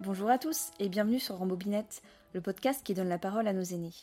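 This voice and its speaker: Recorded very cleanly against a silent background, the voice has a dark, mellow tone, ordinary pitch variation and a fairly quick pace. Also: woman. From Alsace, France. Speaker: podcast host, interviewer. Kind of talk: scripted introduction; interview.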